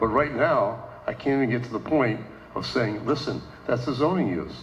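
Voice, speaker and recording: Over noticeable background noise and audible room echo, a man talks at a moderate pace with medium pitch and ordinary pitch variation. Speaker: village council member and candidate. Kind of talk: candidate forum speech. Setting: condominium meeting room with audience. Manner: loud.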